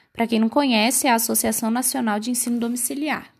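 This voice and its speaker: A woman speaks at a high pitch with ordinary pitch variation. The background is quiet. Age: 20s. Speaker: podcast host, medical student. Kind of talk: scripted narration.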